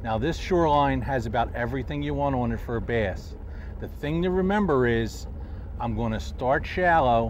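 Over light background noise, a man talks at a moderate pace, the sound dry with no echo. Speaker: fishing show host. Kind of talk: tutorial. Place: boat. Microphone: lapel.

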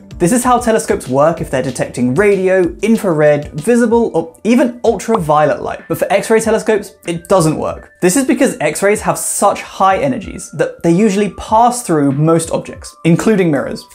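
A man at a moderate pace with hardly any pauses, faint music in the background. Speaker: science educator. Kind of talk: explainer vlog. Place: home room.

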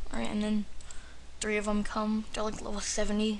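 Light background noise sits under this man's high-pitched voice. His delivery is monotone and flat, at a moderate pace. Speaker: gamer. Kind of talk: video game commentary. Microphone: webcam.

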